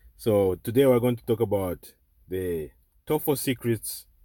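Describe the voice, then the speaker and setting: Speaking at a fairly slow pace with a non-native accent, a man is heard on a very clean recording with a silent background. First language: not English. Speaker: online tutor. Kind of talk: tutorial. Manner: repetitive, halting.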